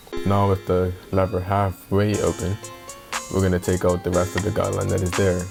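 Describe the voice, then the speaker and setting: Over background music, a man with a very deep, low voice talks at a fairly quick pace in a flat monotone with very even loudness. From Bermuda. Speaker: barber. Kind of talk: tutorial talk to camera.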